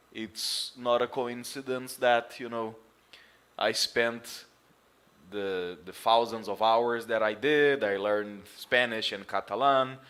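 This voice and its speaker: A man with a Portuguese accent speaks at a very slow pace, his pitch medium and his intonation fairly even. The recording is very clean with a silent background. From Brazil. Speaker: football commentator streamer. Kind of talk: live stream monologue. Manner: loud; halting.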